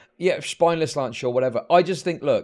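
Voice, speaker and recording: Very fast, animated speech in a British accent against a quiet background. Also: man. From Britain. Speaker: political streamer. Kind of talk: live stream commentary.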